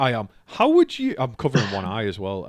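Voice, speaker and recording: In a North East England accent, a man talks at a very fast pace. The recording is very clean, with a silent background. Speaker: comedian, podcast host. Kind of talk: casual podcast conversation.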